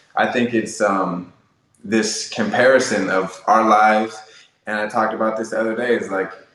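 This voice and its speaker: Audible room echo around a man's fairly low-pitched voice, flat and monotone in intonation, at a moderate speed. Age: 20s. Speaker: podcast host, guest. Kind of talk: interview conversation. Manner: filler-heavy, casual.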